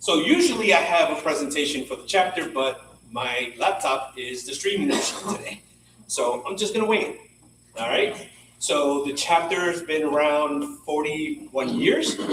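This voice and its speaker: A loud man speaks at a moderate pace, his pitch high for a man. Room echo is audible, and background noise is noticeable. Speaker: professional association chapter leader. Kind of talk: meeting welcome announcements. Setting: in-person meeting, live streamed. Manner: casual, filler-heavy.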